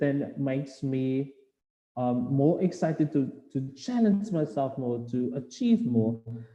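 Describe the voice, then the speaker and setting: A man speaks at a very slow pace with lively intonation. His medium-pitched voice has a dark, mellow tone. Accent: South African. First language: Afrikaans. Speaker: postgraduate student speaker. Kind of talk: webinar presentation. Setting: online webinar. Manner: hesitant, many fillers.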